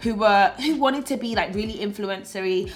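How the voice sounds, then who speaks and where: A woman's fairly high-pitched voice with a British accent, ordinary pitch variation and a very fast pace. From Britain. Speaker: YouTuber and influencer. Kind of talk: vlog monologue.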